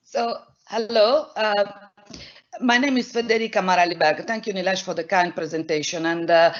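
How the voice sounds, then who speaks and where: A woman with an Italian accent speaks at a moderate pace with ordinary pitch variation. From Italy, Milan. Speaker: professor, immunologist. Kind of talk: scientific presentation. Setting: online event.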